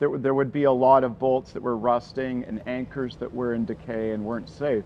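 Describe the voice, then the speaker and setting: In a normal speaking voice, a man talks at a moderate pace with medium pitch and fairly even intonation. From western Canada (Vancouver). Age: 60s. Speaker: climber and route bolter. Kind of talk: documentary interview.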